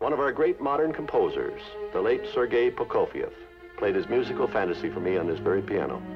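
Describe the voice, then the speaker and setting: A man speaks at a very fast pace. Clear music plays in the background. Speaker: studio head and TV host. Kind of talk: TV host narration. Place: studio.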